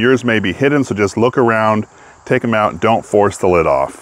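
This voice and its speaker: In a normal speaking voice, a man talks at a fairly quick pace with a fairly low pitch and ordinary pitch variation, and the sound is dry with no echo. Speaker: DIY reviewer. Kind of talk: tutorial. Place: garden. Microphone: phone near.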